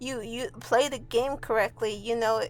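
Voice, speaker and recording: A woman's fairly high voice with vocal fry, ordinary pitch variation and a moderate pace, on a very clean recording with a silent background. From Mexico. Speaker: hobby artist and video creator. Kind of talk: casual commentary over a speed paint. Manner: halting, many fillers.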